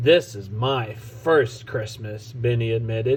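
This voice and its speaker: A man puts on a raspy character voice at a medium pitch and fairly slow pace, with clear background noise behind him. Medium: read story. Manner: confident, cheeky.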